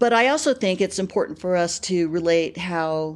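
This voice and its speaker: An American woman with an unremarkable speaking voice talks at a fairly low pitch with ordinary pitch variation, in an American accent, against a quiet background. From California, Bakersfield. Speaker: petroleum engineer. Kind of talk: interview.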